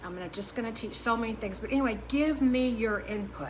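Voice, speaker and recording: A woman talking at a fairly quick pace, with audible room echo and noticeable background noise. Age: 60s. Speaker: diet coach. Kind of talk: podcast monologue. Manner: halting.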